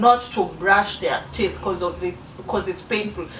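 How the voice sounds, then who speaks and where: A woman's voice with ordinary pitch variation comes through noticeable background noise. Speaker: beauty vlogger. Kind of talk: casual vlog talk to camera. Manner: halting, many restarts.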